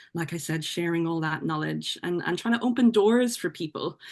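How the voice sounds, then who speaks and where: Against a quiet background, a woman with an Irish accent speaks in a fairly low pitch with ordinary pitch variation. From Ireland. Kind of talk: podcast interview. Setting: podcast.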